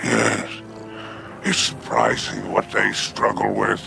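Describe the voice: Doing a put-on character voice, a man speaks slowly in a fairly low pitch with vocal fry and ordinary pitch variation while clear music plays in the background.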